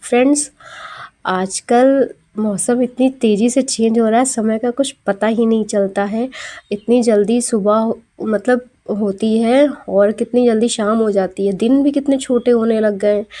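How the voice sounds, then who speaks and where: Her tone is dark and mellow, her loudness very even. The woman speaks at a very slow pace with fairly even intonation. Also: fairly high pitch for a woman. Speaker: housewife vlogger. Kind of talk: vlog narration. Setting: at home.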